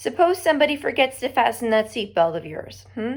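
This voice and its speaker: A woman uses a put-on character voice that is gravelly and high-pitched, talking at a fairly quick pace. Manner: stern, demanding.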